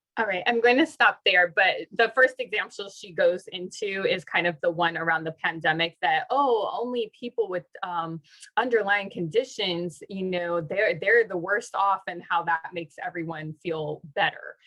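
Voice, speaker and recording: This woman has a plain, everyday voice at a medium pitch with ordinary variation. She keeps a moderate pace and hardly pauses at all. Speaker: professor leading a workshop. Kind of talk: online workshop talk.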